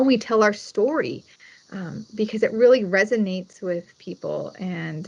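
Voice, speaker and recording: A woman talks fairly slowly, her fairly high voice showing ordinary pitch variation. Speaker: wine commission executive director. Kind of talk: presentation. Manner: loud; animated.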